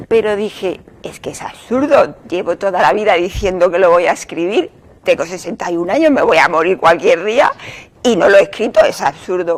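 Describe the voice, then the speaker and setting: A woman's ordinary speaking voice at medium pitch, with lively intonation, big swings in loudness and a moderate pace. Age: 60s. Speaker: novelist. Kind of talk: interview.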